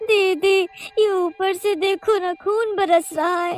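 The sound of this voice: A cartoonish character voice, female-sounding and extremely high in pitch, at a fairly slow pace with faint music in the background.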